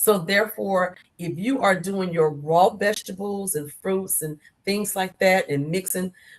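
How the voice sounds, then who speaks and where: A woman with a plain, everyday voice speaks at a fairly slow pace, medium in pitch with fairly even intonation. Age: 60s. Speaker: author. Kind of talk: interview.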